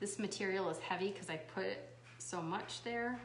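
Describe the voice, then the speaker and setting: Speaking at a very slow pace, a woman is heard with audible room echo. Noticeable background noise is also present. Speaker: craft video host. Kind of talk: livestream craft tutorial. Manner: casual, chatty.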